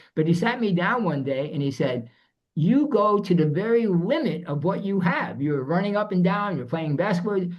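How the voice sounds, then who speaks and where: Amid audible room echo, a man speaks at a moderate pace with lively intonation and a high pitch. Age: 70s. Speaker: fitness enthusiast, older athlete. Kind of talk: interview.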